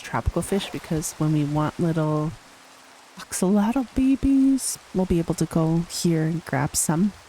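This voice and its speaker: A soft-spoken, relaxed tone amid noticeable background noise. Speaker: gaming video creator. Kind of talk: voice-over gameplay commentary. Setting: voice-over recorded after gameplay.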